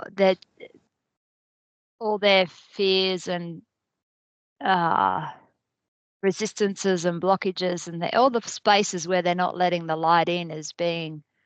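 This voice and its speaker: With an Australian accent, a woman of fairly low pitch speaks at a very slow pace with long, frequent pauses and fairly even intonation, the sound dry and close with no echo over a quiet background. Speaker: spiritual group facilitator. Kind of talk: casual chat.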